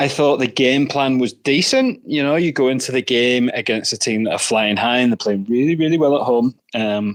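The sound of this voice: A man with a Northern Irish accent talks with few pauses. His pitch is medium, with ordinary pitch variation. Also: moderate pace.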